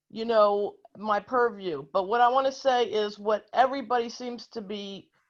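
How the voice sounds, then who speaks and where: Over a quiet background, a woman with a plain, everyday voice talks fairly slowly at a fairly high pitch with ordinary pitch variation. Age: 60s. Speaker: activist audience member. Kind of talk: audience question at virtual town hall. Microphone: connection dropped briefly.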